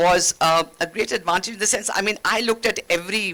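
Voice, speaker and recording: Speaking at a fairly quick pace, a woman with a Keralan accent talks in a fairly low pitch. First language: Malayalam. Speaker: former ambassador, diplomat. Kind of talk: panel discussion.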